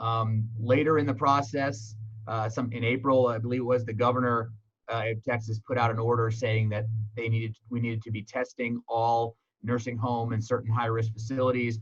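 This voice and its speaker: A somewhat breathy man at a medium pitch, monotone with flat intonation. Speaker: EMS medical director. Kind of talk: presentation. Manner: fast.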